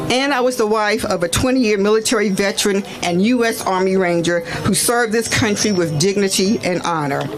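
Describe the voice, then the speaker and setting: A woman talks at a fairly quick pace with hardly any pauses, in a medium pitch with ordinary variation. Her loudness stays very even, against noticeable background noise. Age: 60s. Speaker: retired nurse and activist speaker. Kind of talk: prepared speech at a rally. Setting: outdoors at a protest.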